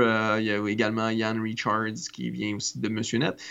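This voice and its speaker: A man with a normal speaking voice talks at a moderate pace and a medium pitch. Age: 30s. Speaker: podcast host. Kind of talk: casual chat.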